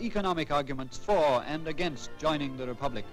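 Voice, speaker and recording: Music plays in the background as a man speaks quickly at a fairly high pitch. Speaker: newsreel announcer. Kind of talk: vintage newsreel narration. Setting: old archival recording. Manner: formal, brisk, authoritative.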